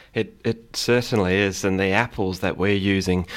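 A man talks at a moderate pace with a slight English accent, his pitch fairly low. The recording is very clean, with a silent background. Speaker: cider maker. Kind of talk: radio interview. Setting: studio.

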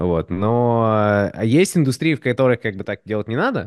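A man's normal speaking voice with lively intonation at a moderate pace, dry and close with no echo over a quiet background. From Moscow, Russia, partly raised in the US. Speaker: designer and 3D artist. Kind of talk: casual podcast conversation.

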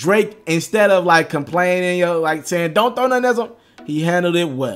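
A man speaks in a high voice with ordinary pitch variation and an animated tone at a moderate pace, with music in the background. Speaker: video creator. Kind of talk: vlog-style recap.

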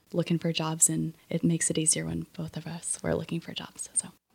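This is a woman with an American accent. Her pitch is fairly low. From US Midwest, central Illinois. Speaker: athletic trainer. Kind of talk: interview. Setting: studio.

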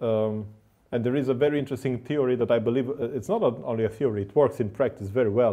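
A man in a Romanian accent, medium in pitch, with ordinary pitch variation and a fairly quick pace. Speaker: podcast host. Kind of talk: interview. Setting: studio.

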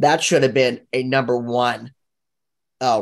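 An ordinary speaking voice at a fairly slow pace, fairly even in intonation, against a quiet background. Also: man. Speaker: class participant. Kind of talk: group discussion.

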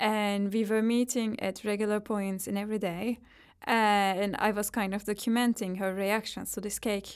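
On a very clean recording with a silent background, a woman at medium pitch speaks at a moderate pace in a monotone, flat intonation. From Turkey. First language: Turkish. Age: 30s. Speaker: psychologist and visual artist. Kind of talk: interview.

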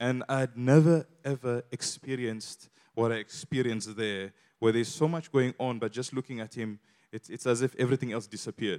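A man speaks at a medium pitch and a fairly quick pace, with an Eritrean accent and fairly even intonation. The recording is very clean with a silent background, and the sound is dry and close with no echo. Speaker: church guest speaker. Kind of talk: testimony. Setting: church.

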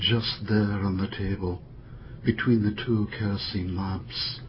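Somewhat breathy and solemn in tone, a man speaks at a very slow pace. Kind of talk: poetry reading, poem performed aloud. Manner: slow, measured, contemplative; solemn, reflective, somber.

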